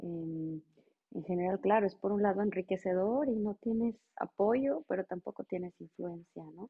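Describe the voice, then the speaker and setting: This woman has an ordinary speaking voice at medium pitch with ordinary pitch variation. She talks at a fairly slow pace with hardly any pauses. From Mexico, Monterrey. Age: 40s. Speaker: regulatory affairs professional. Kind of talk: interview.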